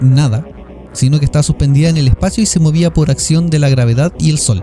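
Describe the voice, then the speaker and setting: With noticeable background noise behind him, a man in a Chilean accent speaks at a fairly quick pace, his fairly high pitch showing ordinary variation. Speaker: podcast host. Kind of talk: casual chat; reading aloud. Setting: remote recording over internet call.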